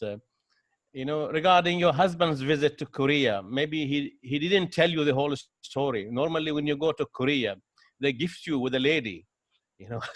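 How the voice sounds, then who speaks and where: With an Omani accent, a man speaks at a moderate pace in a fairly high pitch. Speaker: audience member. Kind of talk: audience question.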